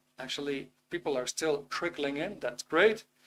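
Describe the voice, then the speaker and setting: The man speaks with a Dutch accent and ordinary pitch variation. His pace is moderate. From Netherlands. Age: 50s. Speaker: webinar presenter on self-improvement. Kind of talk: live webinar talk. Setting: live online video stream. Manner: hesitant, with many fillers.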